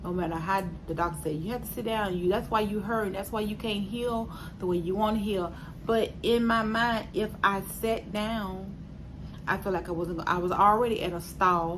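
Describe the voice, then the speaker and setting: Audible room echo surrounds a woman with a medium pitch and some vocal fry. She speaks at a moderate pace with fairly even intonation. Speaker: vlogger sharing weight loss surgery journey. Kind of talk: casual vlog update. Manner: hesitant with fillers.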